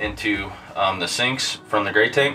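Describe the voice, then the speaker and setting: The speaker talks at a fairly slow pace over light background noise. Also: man. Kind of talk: tutorial.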